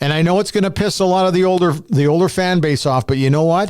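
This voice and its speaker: With lively intonation and a fairly quick pace, an unremarkable speaking voice carries on. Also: man. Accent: Canadian. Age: 60s. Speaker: sports podcast host. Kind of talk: casual chat.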